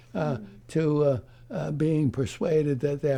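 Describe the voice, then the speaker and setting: A man speaks at a fairly high pitch in a dark, mellow tone. His voice is somewhat breathy. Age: 80s+; old. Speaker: psychiatrist. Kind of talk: interview answer. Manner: hesitant, halting.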